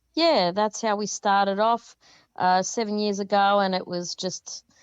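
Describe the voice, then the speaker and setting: This woman has an Australian accent. She speaks at a fairly slow pace. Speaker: rock band lead singer. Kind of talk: interview. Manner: well spoken; halting.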